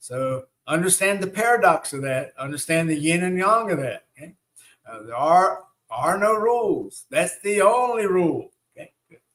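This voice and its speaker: With a Southern US accent, a man talks at a moderate pace in a high pitch, using lively intonation and big swings in loudness. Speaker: shamanic teacher. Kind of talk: live online teaching with Q&A. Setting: live stream. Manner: hesitant, many fillers.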